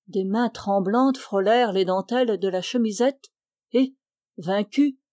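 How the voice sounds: Ordinary pitch variation runs through a natural reading voice. Everything behind it is quiet.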